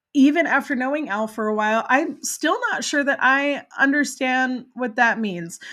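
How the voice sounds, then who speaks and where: The speaker uses an American accent and an animated tone at a moderate pace, with ordinary pitch variation and hardly any pauses. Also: woman, high pitch for a woman. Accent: flawless American. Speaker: podcast host; parent. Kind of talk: casual interview chat.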